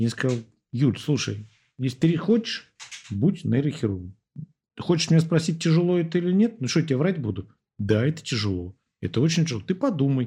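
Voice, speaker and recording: A man speaks at a fairly high pitch and a fairly quick pace, with very wide pitch swings and long, frequent pauses. His tone is dark and mellow, and somewhat breathy. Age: 40s. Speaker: surgeon. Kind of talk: casual chat.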